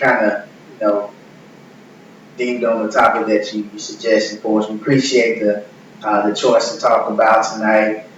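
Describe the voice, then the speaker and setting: With a Mississippi accent, a man talks at a moderate pace. The recording carries audible room echo and noticeable background noise. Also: big swings in loudness. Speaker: church podcast co-host. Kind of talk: casual chat. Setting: live stream.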